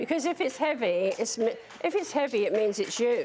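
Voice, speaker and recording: A woman with a British accent and lively intonation, over light background noise. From Britain. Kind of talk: interview. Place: studio.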